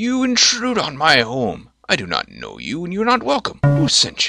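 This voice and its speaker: A man puts on a character voice with a fairly high pitch. He speaks at a moderate pace. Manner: annoyed, hostile.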